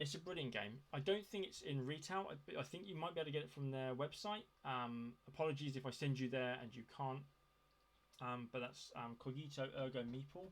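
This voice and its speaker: Here a man talks at a fairly quick pace. His pitch is fairly high, with ordinary pitch variation. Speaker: board game reviewer. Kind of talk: casual video review. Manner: fast; hesitant, many fillers. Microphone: poor sound.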